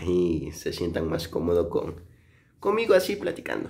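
The man talks at a moderate pace. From Mexico, Chiapas. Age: 20s. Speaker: vlogger. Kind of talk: casual vlog narration. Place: home room. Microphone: phone near.

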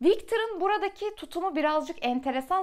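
A woman's voice makes very wide pitch swings at a moderate pace against a quiet background. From Turkey. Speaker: book reviewer / YouTuber; book reviewer, YouTuber. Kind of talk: book review monologue. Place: home room.

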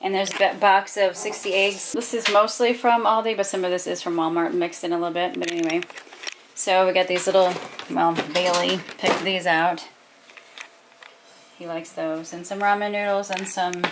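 A woman with fairly even intonation and long, frequent pauses, over noticeable background noise. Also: moderate pace. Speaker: home vlogger. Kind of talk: casual vlog chat. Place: home room.

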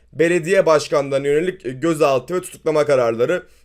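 An unremarkable speaking voice from a man at a fairly high pitch and a fairly quick pace. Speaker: finance YouTuber. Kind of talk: market commentary video.

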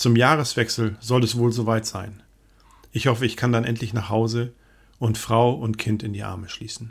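A man's somewhat breathy voice at medium pitch and moderate pace, monotone and flat, in a very clean recording with a silent background. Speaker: diary reader narrator. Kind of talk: reading aloud a wartime diary in first person. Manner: sober, measured, grave.

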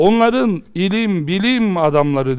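A man's pitch leaps up and down very widely. Nothing much sounds behind him. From Turkey. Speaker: Islamic preacher and teacher; religious teacher. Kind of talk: religious lecture. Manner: impassioned, rhetorical. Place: studio.

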